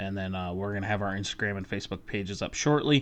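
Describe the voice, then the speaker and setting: This man has a fairly low pitch and a fairly quick pace. The background is quiet. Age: 20s. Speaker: podcast host. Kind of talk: casual monologue. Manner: halting, many fillers.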